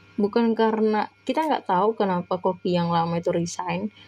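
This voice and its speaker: The speech moves at a fairly quick pace with ordinary pitch variation. Music plays in the background. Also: woman. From Medan, North Sumatra (Batak). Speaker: online test-prep tutor. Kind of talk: live-stream tutorial. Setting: live stream. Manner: casual, chatty.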